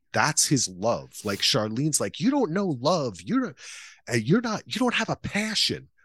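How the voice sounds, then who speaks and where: Against a quiet background, a man with an American accent talks at a fairly slow pace in a fairly high voice with vocal fry and very wide pitch swings. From New Jersey, US. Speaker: podcaster and filmmaker. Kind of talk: casual chat.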